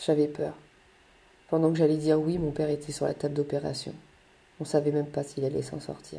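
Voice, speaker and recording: A woman with a very deep, low pitch and a dark, mellow tone talks in a monotone, flat way, with vocal fry and long, frequent pauses. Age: 30s. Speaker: mother telling her life story. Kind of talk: personal storytelling monologue.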